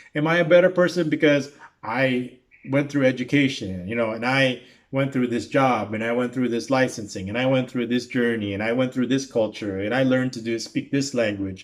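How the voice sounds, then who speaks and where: With a Filipino accent, the speaker moves at a fairly quick pace with ordinary pitch variation. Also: man. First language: Tagalog. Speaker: YouTube reaction commentator. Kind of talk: casual reaction commentary monologue. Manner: halting, many fillers and restarts.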